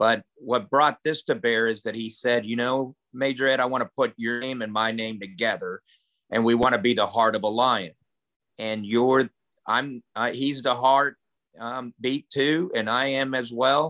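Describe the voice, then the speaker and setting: A man with an American accent speaks at a medium pitch in a bright, sharp tone, recorded dry and close with no echo over a quiet background. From grew up around the world as US Army child, partly Oklahoma. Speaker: army veteran and motivational speaker. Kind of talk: podcast interview. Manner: animated.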